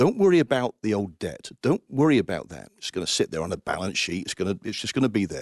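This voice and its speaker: Speaking with an English Midlands accent and vocal fry, a man moves at a fairly quick pace. His pitch swings very widely against a quiet background. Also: dry, close sound with no echo. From Coventry, England. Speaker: Salvation Army finance officer. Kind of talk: interview about faith and finances.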